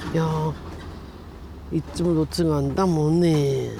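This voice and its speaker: A woman with an Iwate accent speaks in a very deep, low voice with fairly even intonation over noticeable background noise. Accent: Iwate Tohoku dialect. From Iwate, Japan (Miyako). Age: 70s. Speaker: disaster survivor. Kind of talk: interview. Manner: halting.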